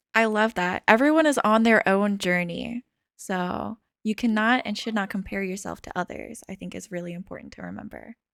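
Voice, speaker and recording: Her pitch sits at a medium level. The woman's pitch variation is ordinary. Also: moderate pace. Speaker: podcast host. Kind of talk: casual chat. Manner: expressive, varies tone; halting, with fillers.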